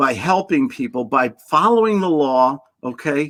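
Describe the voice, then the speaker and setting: Talking at a fairly slow pace, a man with a New York accent uses a fairly high pitch and very wide pitch swings. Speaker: sales trainer. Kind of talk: casual interview chat. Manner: animated.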